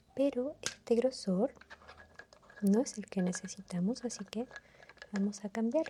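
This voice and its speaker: Soft-spoken and at a fairly slow pace, the speaker leaves long, frequent pauses amid noticeable background noise. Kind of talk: ASMR roleplay.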